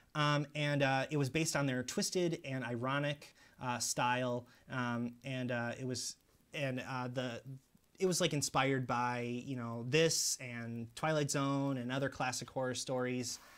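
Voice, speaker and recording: At a fairly slow pace, a man talks with medium pitch and fairly even intonation in a very clean recording with a silent background. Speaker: horror movie YouTuber. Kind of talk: casual video monologue review. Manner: halting, many fillers.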